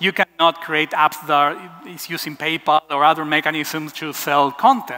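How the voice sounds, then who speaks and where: A man with an Argentine accent, fairly high in pitch, at a moderate pace, in a dry, close sound with no echo. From Argentina, Buenos Aires. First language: Spanish. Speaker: web developer. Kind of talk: conference talk.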